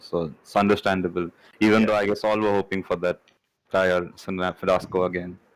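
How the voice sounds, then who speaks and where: A man with a very deep, low pitch speaks at a moderate pace with fairly even intonation in a very clean recording with a silent background. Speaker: Formula One podcast co-host. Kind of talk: casual sports discussion.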